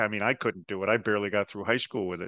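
With an American accent, a man speaks in a bright, sharp tone, the sound dry and close with no echo against a quiet background. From New Jersey. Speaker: podcast host. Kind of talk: interview.

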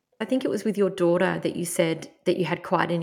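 Fairly low-pitched, a woman speaks at a fairly quick pace with ordinary pitch variation. Hers is an unremarkable speaking voice. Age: 30s. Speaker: podcast host. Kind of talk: scripted intro then interview chat.

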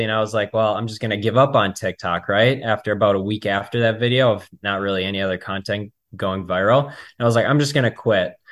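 Fairly even intonation in an ordinary speaking voice, a man's, fairly low in pitch. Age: 20s. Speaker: realtor. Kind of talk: interview.

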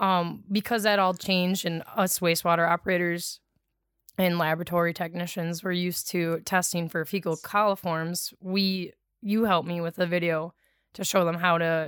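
A woman with an Upper Midwest accent speaks at a moderate pace and a fairly low pitch. Her intonation is monotone and flat, on a very clean recording with a silent background. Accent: Upper Midwest (Wisconsin). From Wisconsin, US Midwest. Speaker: wastewater treatment operator. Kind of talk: casual chat. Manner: loud, not soft-spoken.

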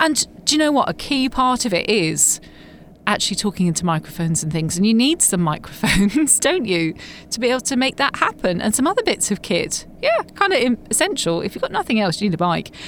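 A woman speaks at a fairly quick pace in a fairly high pitch, her voice swinging very widely up and down over noticeable background noise. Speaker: podcast host. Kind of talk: casual interview. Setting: booth at live podcast show.

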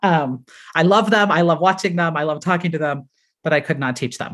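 A woman speaks with an American accent. Her intonation is lively. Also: quiet background. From US, Colorado Springs. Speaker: elementary school teacher. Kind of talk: casual chat.

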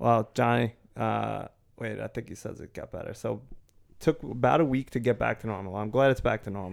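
Using vocal fry, a man speaks at a medium pitch and moderate pace with ordinary pitch variation, long, frequent pauses and big swings in loudness. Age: middle-aged. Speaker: podcast co-host. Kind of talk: casual chat.

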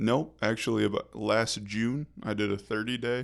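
A man with an American accent, a normal speaking voice of medium pitch, at a fairly slow pace. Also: very clean recording, silent background. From Michigan, rural area near Kalamazoo. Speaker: rehab resident in addiction recovery. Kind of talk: casual interview about recovery.

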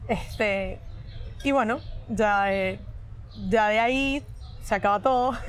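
A woman speaks very slowly at a fairly high pitch, leaving long, frequent pauses. Her intonation stays fairly even and her loudness very even. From Venezuela. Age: 20s. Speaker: cybersecurity professional. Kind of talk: casual chat. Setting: cafe.

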